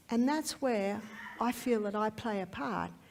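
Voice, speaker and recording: A somewhat breathy woman with an Australian accent talks at a moderate pace and a fairly high pitch with ordinary pitch variation. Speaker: health educator. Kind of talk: testimony.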